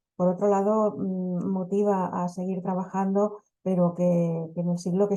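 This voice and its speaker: A woman speaks at a fairly slow pace in a fairly low voice with a dark, mellow tone. Her intonation is monotone and flat. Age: 60s. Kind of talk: panel talk. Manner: halting, many fillers and repetitions.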